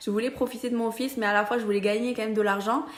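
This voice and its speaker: A woman speaks with a Roussillon accent. Her intonation is fairly even. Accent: southern French (Perpignan). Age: 20s. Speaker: social media seller, beauty brand ambassador. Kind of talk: casual explainer vlog.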